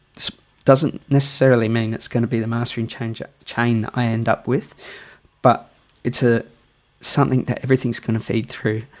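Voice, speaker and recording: A man with a strong Australian accent, a medium pitch, fairly even intonation, a fairly quick pace and long, frequent pauses. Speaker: music producer. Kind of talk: tutorial. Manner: casual.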